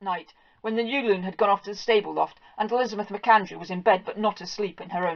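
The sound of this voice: The reading voice sounds unforced. It carries the text from start to finish.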